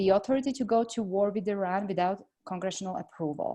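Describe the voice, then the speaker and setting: A woman's dark, mellow, medium-pitched voice in a Slovak accent, over a quiet background. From Slovakia. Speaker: congressional candidate. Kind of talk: interview. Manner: hesitant with many fillers.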